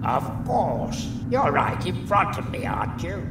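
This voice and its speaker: Over loud background noise, a man performs a cartoonish character voice at a moderate pace. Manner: chatty, wry.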